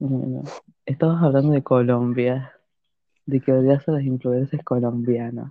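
The tone is relaxed. The pace is very slow. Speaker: podcast host. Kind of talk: casual chat. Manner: laughing, loud at times.

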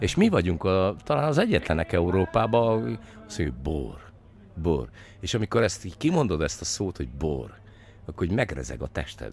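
A man's very deep, low voice at a moderate pace, with very wide pitch swings. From Villány, southern Hungary. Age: 50s. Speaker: winemaker and former MP. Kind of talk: interview. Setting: makeshift studio at a festival. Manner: hesitant, many fillers.

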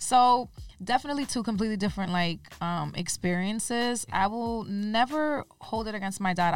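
A woman at a moderate pace and medium pitch, ordinary pitch variation, an ordinary speaking voice. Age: 30s. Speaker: fashion designer and entrepreneur. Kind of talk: interview.

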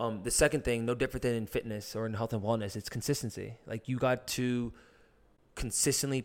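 Over a silent background on a very clean recording, a man with an American accent talks fairly quickly in a plain, everyday voice at medium pitch with fairly even intonation. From US, New Jersey. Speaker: ultra-endurance runner. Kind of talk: casual chat. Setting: in person.

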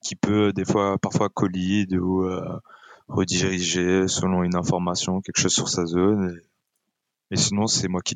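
A man with a very deep, low pitch speaks very slowly in a flat monotone. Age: 30s. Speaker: esports player. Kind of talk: casual chat.

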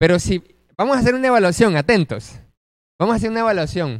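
Lively intonation marks a man's speech on a very clean recording with a silent background. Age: 20s. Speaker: preacher. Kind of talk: sermon.

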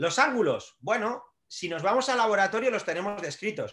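Projecting a raised voice, a man speaks at a high pitch with a bright, sharp tone, lively intonation and a moderate pace. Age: 40s. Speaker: strength and conditioning coach, trainer educator. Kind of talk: podcast interview.

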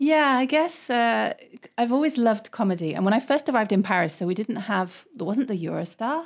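In a very clean recording with a silent background, a woman with a British accent speaks at a fairly quick pace in a fairly high voice, her pitch swinging very widely. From England. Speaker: English teacher and comedian. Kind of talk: casual chat. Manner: laughs often.

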